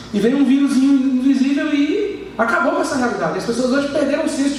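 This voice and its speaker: An extremely high-pitched man at a moderate pace with ordinary pitch variation, plus noticeable background noise and audible room echo. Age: 30s. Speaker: preacher. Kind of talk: sermon. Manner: halting, many repetitions and fillers.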